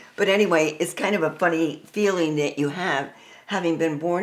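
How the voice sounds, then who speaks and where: At a moderate pace, a woman speaks with a fairly low pitch and ordinary pitch variation, with noticeable background noise behind her. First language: Spanish. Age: 90s. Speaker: piano teacher. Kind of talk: personal storytelling.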